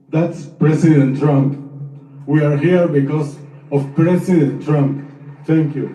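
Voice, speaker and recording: With a non-native accent, the speaker talks at a very slow pace in a monotone, flat intonation, with long, frequent pauses. Audible room echo surrounds the voice. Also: man, fairly high pitch for a man. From Argentina and Israel. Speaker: freed hostage. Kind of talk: testimony. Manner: halting.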